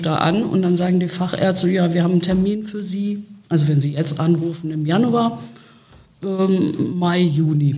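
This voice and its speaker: A woman at a moderate pace, fairly low in pitch, with noticeable background noise and audible room echo. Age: 60s. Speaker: speech therapist and long covid patient. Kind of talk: interview.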